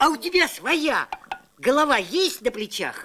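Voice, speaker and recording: A man uses a cartoonish character voice at an extremely high pitch. He projects his voice, speaking raised and loud. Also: moderate pace. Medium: puppet.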